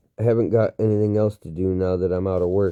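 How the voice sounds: A man puts on a gruff, growling character voice with a very deep, low pitch. He speaks at a very fast pace in a monotone, flat intonation.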